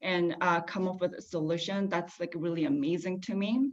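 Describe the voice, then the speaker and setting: A woman with a non-native accent speaks at medium pitch. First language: not English. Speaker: panelist. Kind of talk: panel discussion. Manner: halting, many fillers.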